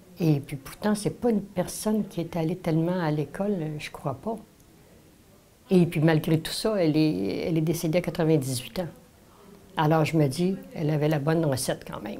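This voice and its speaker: A woman's dark, mellow voice at a moderate pace, with ordinary pitch variation and long, frequent pauses. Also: fairly low pitch for a woman. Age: 70s. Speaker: senior sharing memories. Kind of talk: personal reminiscence.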